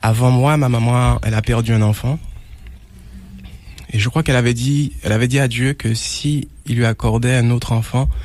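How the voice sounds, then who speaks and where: A man speaks at a moderate pace with a medium pitch, very even loudness, fairly even intonation, and long, frequent pauses. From Martinique (Trinité). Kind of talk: testimony. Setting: radio broadcast. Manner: halting, with frequent repetitions.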